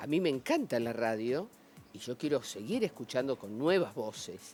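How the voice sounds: A man speaks at a fairly slow pace with lively intonation. Music plays in the background.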